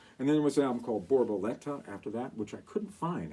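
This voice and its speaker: His tone dark and mellow, a man speaks with very wide pitch swings. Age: 60s. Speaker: show host, music collector. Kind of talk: casual talk to camera. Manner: conversational, meandering.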